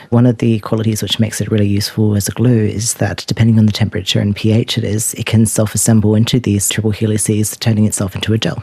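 A man's fairly low, dark, mellow and somewhat breathy voice, monotone and flat, at a very fast pace with hardly any pauses. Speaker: postdoctoral research scientist. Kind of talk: scientific explanation.

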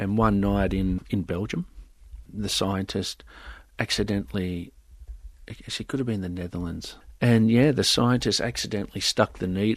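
In an Australian accent, a man talks at a moderate pace with a fairly low pitch. His intonation is fairly even, and the background is quiet. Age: 50s. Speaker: IVF scientist. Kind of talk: interview.

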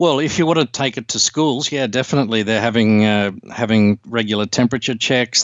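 Over noticeable background noise, a man with an Australian accent talks at a fairly quick pace and medium pitch. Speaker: infectious disease doctor. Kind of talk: interview. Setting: remote call. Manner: halting.

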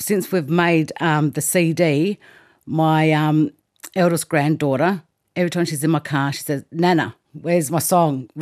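The pace is fairly slow and the intonation fairly even. The recording is very clean and dry, close with no echo, over a silent background. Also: woman, very deep, low pitch for a woman. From South Australia, south of Adelaide. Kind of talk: interview testimony. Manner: hesitant, many ums.

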